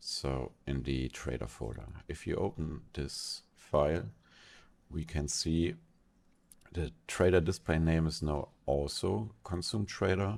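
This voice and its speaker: A man with a non-native accent speaks at a very slow pace in a very deep, low pitch, with lively intonation and vocal fry. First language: not English. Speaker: software tutorial creator. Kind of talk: tutorial. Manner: casual, with fillers and restarts.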